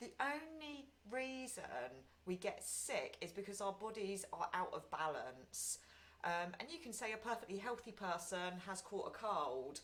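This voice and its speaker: A loud woman speaks at a fairly slow pace with very wide pitch swings over noticeable background noise. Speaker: meditation group leader. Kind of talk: guided meditation talk. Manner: frequent ums.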